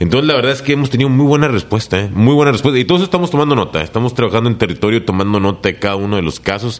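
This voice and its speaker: Delivery is very fast with hardly any pauses and lively intonation. Noticeable background noise can be heard. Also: man, medium pitch for a man. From Reynosa, Tamaulipas, Mexico. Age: 30s. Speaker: mayoral candidate. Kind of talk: interview. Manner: halting.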